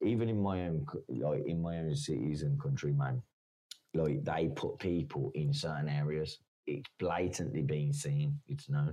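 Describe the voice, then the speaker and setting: With an English accent, a man speaks at a fairly slow pace and very even loudness, his very deep, low pitch and dark, mellow tone moving through very wide pitch swings. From England. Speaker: caller. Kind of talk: casual chat.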